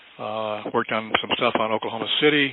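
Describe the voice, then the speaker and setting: Noticeable noise runs behind a man whose voice is at a medium pitch. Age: 80s+. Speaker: investigative researcher. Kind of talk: interview. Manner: halting.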